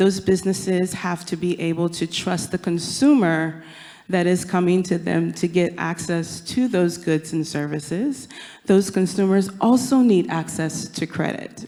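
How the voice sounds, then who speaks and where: Speaking at a fairly slow pace, a woman with a plain, everyday voice and an American accent uses a fairly low pitch and ordinary pitch variation. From United States. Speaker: panelist. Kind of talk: panel discussion.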